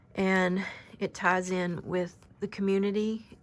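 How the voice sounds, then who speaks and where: Soft-spoken and monotone, a woman with a medium pitch and flat intonation is heard in a very clean recording with a silent background. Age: 50s. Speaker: oracle card reader. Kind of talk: spiritual card reading.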